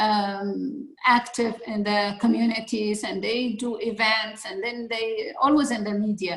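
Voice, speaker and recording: Speaking with an Arabic accent, a woman uses a fairly high pitch with ordinary variation at a fairly slow pace, with hardly any pauses. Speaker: public speaking club leader. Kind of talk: interview. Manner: halting, many fillers.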